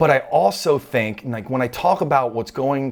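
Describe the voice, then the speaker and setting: A man is speaking. His tone is animated. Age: 40s. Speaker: trading card collector youtuber. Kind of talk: casual monologue. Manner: fast.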